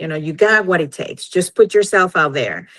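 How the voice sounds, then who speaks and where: A woman's fairly low voice with a bright, sharp tone, ordinary pitch variation and a Venezuelan accent. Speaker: entrepreneur. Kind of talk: interview.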